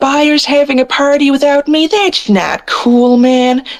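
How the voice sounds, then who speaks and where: At a fairly slow pace, a female-sounding voice uses a high-pitched put-on character voice. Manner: laid-back, casual.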